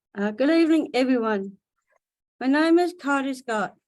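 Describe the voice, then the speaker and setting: In a high pitch, a woman with an Australian accent speaks at a fairly slow pace. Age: 40s. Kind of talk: prepared speech. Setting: video webinar.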